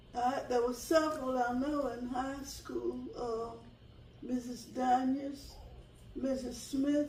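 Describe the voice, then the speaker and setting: In a North Carolina accent, a woman speaks very slowly in a high, flat monotone, with noticeable background noise and audible room echo. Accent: Southern US (North Carolina). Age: 80s+. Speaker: retired teacher. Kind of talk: interview. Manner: halting.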